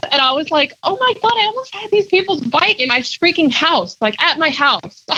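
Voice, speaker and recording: A woman uses a raised, projected voice at an extremely high pitch with very wide pitch swings. She talks at a moderate pace over noticeable background noise. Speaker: pinstriper and artist. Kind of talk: podcast interview, casual chat.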